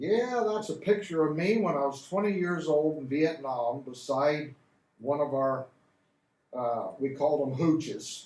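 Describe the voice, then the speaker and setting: A man with a Midwestern American accent talks at a fairly slow pace in a fairly high voice with lively intonation. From Hardin County, Ohio. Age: 70s. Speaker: Vietnam War veteran. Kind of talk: interview answer. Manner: casual, folksy.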